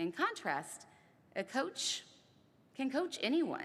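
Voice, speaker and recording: A woman's voice with very wide pitch swings. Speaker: ceremony speaker. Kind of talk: speech.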